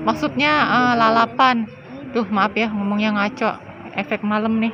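Fairly slow speech from a woman against noticeable background noise. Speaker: family vlogger filming dinner. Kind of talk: casual vlog chat. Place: cafe.

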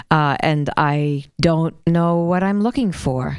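Little noise sits behind the voice. A woman talks in a dark, mellow tone. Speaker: radio show host. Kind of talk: radio interview. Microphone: handheld.

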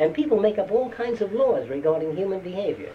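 The speaker talks at a fairly quick pace with very wide pitch swings. Light background noise is present. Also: man. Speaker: lecturer. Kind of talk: lecture. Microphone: old recording.

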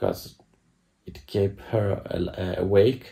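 Against a quiet background, the tone sounds dark, mellow. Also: man. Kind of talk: casual vlog chat. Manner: sleepy, halting, low-energy voice. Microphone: phone near.

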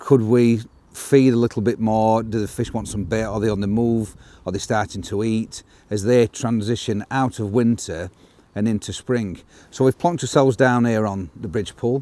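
Fairly even intonation marks a man's dark, mellow voice at a moderate pace. The sound is dry, with no echo. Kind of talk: casual outdoor explanation. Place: waterside.

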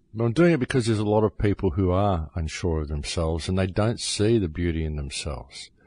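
Over a quiet background, a man with a very deep, low pitch speaks very fast, somewhat breathy, with lively intonation. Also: hardly any pauses. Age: 50s. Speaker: radio host. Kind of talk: monologue radio talk.

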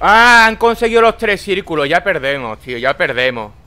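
There is music playing behind a man's voice. His pitch swings very widely. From Spain. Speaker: gaming YouTuber. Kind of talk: angry rant while gaming, swearing at the screen in a furious gameplay commentary. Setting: home recording while playing a video game. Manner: loud, explosive and exasperated, spitting curses and repeating phrases; snapping in rage, then trying to calm himself down. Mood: angry, frustrated ranting.

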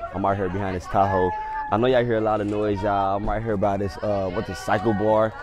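A man at a very fast pace, dry sound with no echo, crowd noise in the background. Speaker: prank video host. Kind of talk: casual vlog chat to camera.

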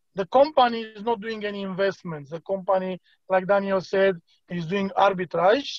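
Quiet background and a dry sound with no echo. A man with a Romanian accent speaks at a high pitch with fairly even intonation. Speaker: crypto platform team leader. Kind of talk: online presentation. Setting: video call. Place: home room. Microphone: video call.

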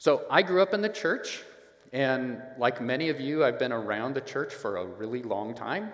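A man speaks at a moderate speed, with audible room echo. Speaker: preacher. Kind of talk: sermon. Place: church.

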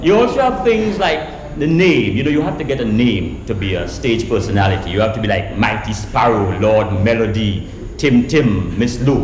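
A man with a Trinidadian accent, lively intonation and a moderate pace, plus audible room echo and light background noise. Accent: Caribbean, Trinidadian. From Trinidad and Grenada. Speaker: storyteller. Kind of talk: live storytelling show to an audience. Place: stage.

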